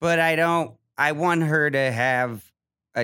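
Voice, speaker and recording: Recorded dry and close with no echo, the speech comes very slowly in an American accent. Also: man. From Ohio. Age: young. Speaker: comedian. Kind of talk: casual chat. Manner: halting, many repetitions and fillers.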